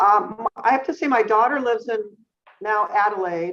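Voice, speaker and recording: This woman has a normal speaking voice at medium pitch. She keeps a moderate pace with ordinary pitch variation. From US West Coast, San Jose, California. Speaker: neurologist. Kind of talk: interview.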